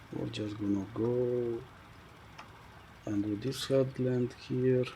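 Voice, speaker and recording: A man mumbles at a very slow pace in a monotone, flat intonation. Audible room echo hangs around his voice. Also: medium pitch for a man. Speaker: gaming video creator. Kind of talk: gameplay commentary. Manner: mumbling.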